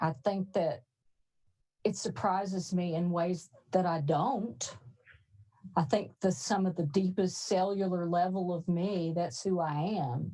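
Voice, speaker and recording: At a fairly slow pace, a woman speaks in a fairly low, somewhat breathy voice with a dark, mellow tone and ordinary pitch variation. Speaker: author and professor. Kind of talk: reading aloud; panel discussion.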